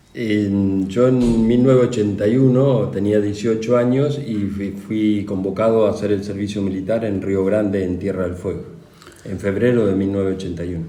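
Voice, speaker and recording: A man at a moderate pace, fairly low in pitch with fairly even intonation, amid audible room echo and noticeable background noise. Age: 60s. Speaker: war veteran. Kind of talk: interview. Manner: halting.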